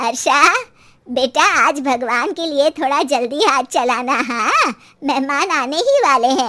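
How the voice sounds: A woman puts on a cartoonish character voice at a high pitch. She speaks at a fairly slow pace.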